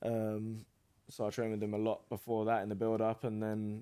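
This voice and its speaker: Over a quiet background, a man talks at a moderate pace with a fairly low pitch, a dark, mellow tone and monotone, flat intonation. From England. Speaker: professional boxer; podcast guest. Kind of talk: casual interview. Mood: relaxed, conversational. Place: studio. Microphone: studio mic.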